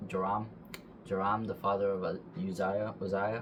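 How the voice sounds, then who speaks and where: Over noticeable background noise, the voice holds a fairly even intonation. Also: man. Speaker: bible reader. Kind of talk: reading aloud. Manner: fast; halting.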